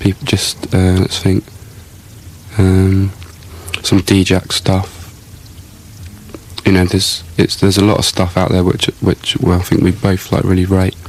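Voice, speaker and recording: Over noticeable background noise, a man with a very deep, low pitch talks in a monotone, flat intonation. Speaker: electronic musician. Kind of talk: interview answer. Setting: radio studio.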